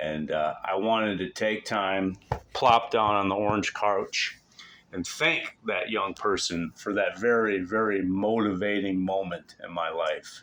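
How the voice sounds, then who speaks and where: Loud and bright with a sharp tone, a man speaks at a fairly slow pace with fairly even intonation. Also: fairly low pitch for a man. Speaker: vlogger. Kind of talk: casual vlog monologue. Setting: at home on couch. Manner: bombastic, intense.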